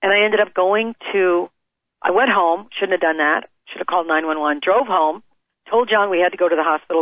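In an ordinary speaking voice with an American accent, a woman speaks at a fairly quick pace, her medium pitch showing ordinary pitch variation. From US Midwest. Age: 50s. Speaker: author and foundation founder. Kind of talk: interview.

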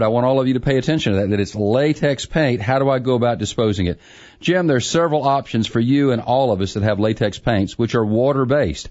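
An unremarkable speaking voice from a man, medium-pitched and fairly quick, with very even loudness and hardly any pauses. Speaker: contractor and radio home improvement expert. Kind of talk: call-in radio advice show.

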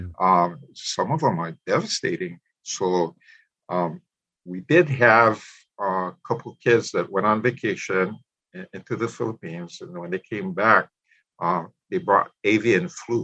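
Against a quiet background, a man with a Hawaiian accent speaks at a fairly slow pace with long, frequent pauses. His fairly low voice is bright and sharp, with lively intonation. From Hawaii, Molokai. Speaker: retired teacher and spiritual practitioner. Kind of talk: interview, personal story.

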